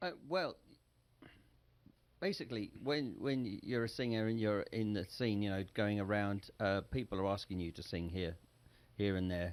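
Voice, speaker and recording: A man with an English accent speaks at a moderate pace and a fairly low pitch, with ordinary pitch variation and long, frequent pauses. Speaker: singer and entrepreneur. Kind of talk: interview.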